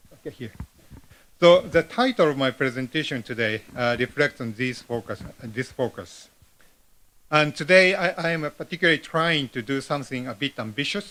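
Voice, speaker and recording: A man's fairly high, bright, sharp voice with a non-native accent. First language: Japanese. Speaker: professor, keynote speaker. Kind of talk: conference keynote read from script. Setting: conference hall with large audience. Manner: halting, many fillers.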